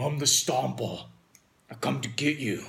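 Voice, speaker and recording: Raspy and husky, a man's put-on character voice sits at medium pitch and moves at a moderate pace. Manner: menacing, rough.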